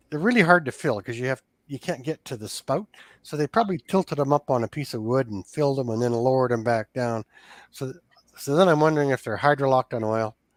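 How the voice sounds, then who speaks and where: Very fast male speech at medium pitch with ordinary pitch variation, on a very clean recording against a silent background. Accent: western Canadian. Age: 60s. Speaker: small engine repairer. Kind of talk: casual chat. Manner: animated.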